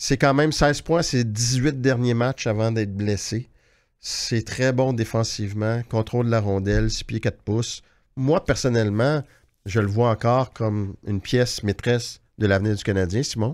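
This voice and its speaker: Fairly slow speech from a man in a quiet background. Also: ordinary pitch variation. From Quebec. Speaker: hockey journalist, podcast host. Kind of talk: casual chat. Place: studio. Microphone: studio mic.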